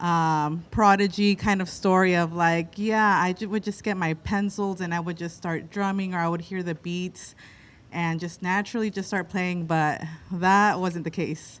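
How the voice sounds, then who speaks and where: A woman speaks at a fairly slow pace with fairly even intonation on a very clean recording with a silent background. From Mexican-American, Southern California and Oaxaca. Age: 30s. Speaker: drummer. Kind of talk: personal story talk to live audience. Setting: outdoor stage with live audience. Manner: hesitant, many fillers.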